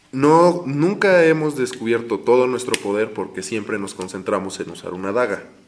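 A medium-pitched male voice at a moderate pace, very wide pitch swings and hardly any pauses. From Mexico, Hidalgo. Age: 20s. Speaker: podcast host. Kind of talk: casual chat.

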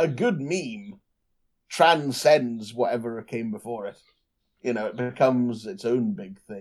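Using an ordinary speaking voice, a man talks fairly slowly with lively intonation and big swings in loudness. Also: medium pitch for a man. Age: 20s. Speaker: podcast co-host. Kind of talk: casual chat.

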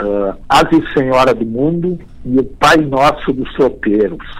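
Here a man talks at a medium pitch. His pace is very slow. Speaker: folk poet and reciter. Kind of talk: radio interview. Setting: remote call. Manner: animated.

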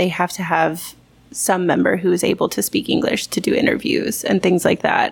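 A woman's medium-pitched voice with vocal fry. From Texas. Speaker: English teacher at a private academy. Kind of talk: casual chat. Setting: bar.

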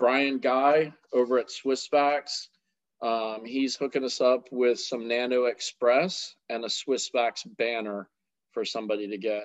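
A man speaks at a fairly slow pace with fairly even intonation and medium pitch. He has a normal speaking voice. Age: 40s. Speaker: podcast host. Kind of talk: casual chat.

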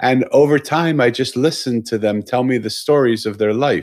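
In a plain, everyday voice, a man talks at a moderate pace and medium pitch with ordinary pitch variation, on a very clean recording with a silent background. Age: 60s. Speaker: author and storyteller. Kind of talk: interview conversation. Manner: warm, reflective storytelling.

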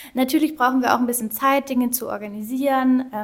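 A woman's high voice at a fairly quick pace, with ordinary pitch variation and noticeable background noise. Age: 30s. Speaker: nonprofit wish coordinator. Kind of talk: casual interview. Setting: office of the organisation.

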